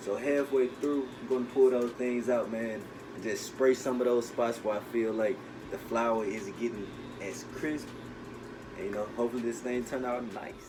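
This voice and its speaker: Music plays in the background and the room echo is audible. A man talks at a moderate pace and medium pitch, relaxed in tone, with fairly even intonation. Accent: American. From US South. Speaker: home cook YouTuber. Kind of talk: cooking tutorial. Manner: casual, relaxed.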